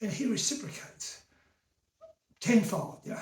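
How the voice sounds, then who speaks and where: The speaker has an Australian accent and a moderate pace. Room echo is audible. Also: man. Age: 70s. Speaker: vlogger. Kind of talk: casual rant. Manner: animated.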